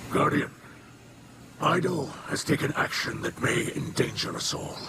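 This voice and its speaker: Over loud background noise, a man puts on a character voice, fairly high in pitch, at a moderate pace. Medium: game stream. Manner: grave, measured.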